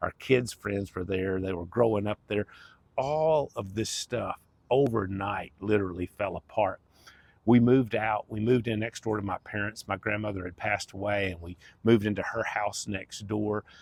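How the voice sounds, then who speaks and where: A man with an American accent talks at a moderate pace in a fairly low pitch with fairly even intonation. The sound is dry and close with no echo. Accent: Southern US, redneck-sounding. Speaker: life coach, former pastor. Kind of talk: personal testimony. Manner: casual, conversational.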